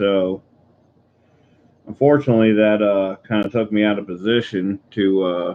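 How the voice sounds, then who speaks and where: A man talks quietly in a fairly low pitch, with fairly even intonation. He leaves long, frequent pauses. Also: moderate pace. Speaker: coin collecting live streamer. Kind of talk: casual live stream chat. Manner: quiet, subdued.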